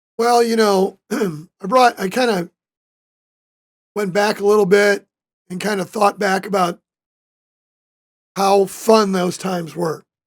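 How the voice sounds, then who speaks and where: Pausing long and often, a man with a high pitch and an American accent speaks at a fairly slow pace with fairly even intonation. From US Midwest (Joliet, Illinois). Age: 60s. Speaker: retired high school coach and author. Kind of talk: casual interview.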